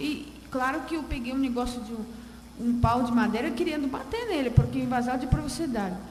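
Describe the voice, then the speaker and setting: Her voice is high-pitched, with lively intonation and a Russian accent. The woman talks at a moderate pace, and the room echo is audible. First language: Russian (speaking Portuguese). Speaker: audience member. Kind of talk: question from the floor at a round table. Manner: halting.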